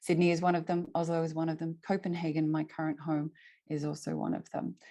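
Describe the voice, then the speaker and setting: Against a quiet background, a woman with an Australian accent talks at a moderate pace, her very deep, low pitch paired with a dark, mellow tone. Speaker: climate network innovation lead. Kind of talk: presentation. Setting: video call.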